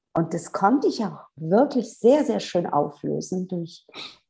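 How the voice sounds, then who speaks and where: Showing vocal fry and a dark, mellow tone, a woman talks at a fairly slow pace with lively intonation. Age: 50s. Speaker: physiotherapist and spiritual coach. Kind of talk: interview conversation.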